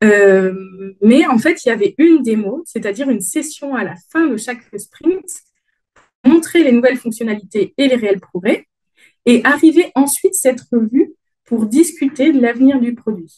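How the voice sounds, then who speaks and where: A woman speaks with a Dauphiné accent at a high pitch. Her pace is fairly slow and her intonation lively. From France, Dauphiné region. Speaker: agile conference speaker. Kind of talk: conference talk. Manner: hesitant, many fillers.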